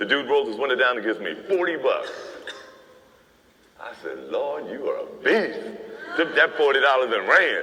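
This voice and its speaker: A man speaks at a moderate pace while noticeable background noise fills the recording. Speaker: formerly homeless man with a radio announcer voice. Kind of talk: casual storytelling anecdote. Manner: animated, expressive.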